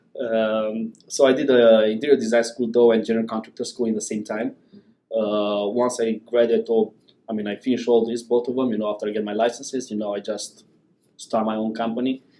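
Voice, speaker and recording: A man talks at a fairly quick pace with a non-native accent. His tone is dark and mellow, his intonation monotone and flat. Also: medium pitch for a man. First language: not English. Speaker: business owner. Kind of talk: interview. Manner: halting.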